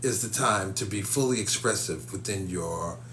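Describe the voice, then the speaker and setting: Talking at a fairly slow pace, a man with a fairly low voice sounds animated, his pitch swinging very widely. Audible room echo and noticeable background noise surround him. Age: 50s. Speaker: psychic medium and spiritual teacher. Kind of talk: live stream talk to viewers. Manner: animated, repetitive.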